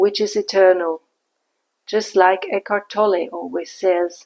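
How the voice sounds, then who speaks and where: Her intonation fairly even, a woman talks with a non-native accent. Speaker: podcaster and translator. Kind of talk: spiritual podcast monologue. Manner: calm, reflective.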